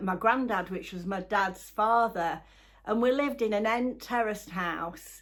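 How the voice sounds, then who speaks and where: A woman with a Yorkshire accent, a fairly high pitch, ordinary pitch variation and a moderate pace. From northern England, Halifax, West Yorkshire. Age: 70s. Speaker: YouTuber. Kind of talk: casual chat. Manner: halting.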